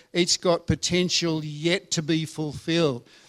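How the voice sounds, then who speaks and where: Someone with an Australian accent speaks at a fairly slow pace on a very clean recording with a silent background and a dry, close sound without echo. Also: man. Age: 70s. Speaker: retired pastor, visiting preacher. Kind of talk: sermon. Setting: church service.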